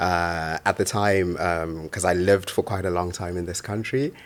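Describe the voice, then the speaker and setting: A man speaks in a Birmingham accent with a very deep, low pitch and ordinary pitch variation. The recording is very clean, with a silent background. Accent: Birmingham-tinged, he dislikes his. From Zimbabwe, moved to Birmingham at fifteen. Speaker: poet and author. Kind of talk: interview. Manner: halting, many fillers and repetitions.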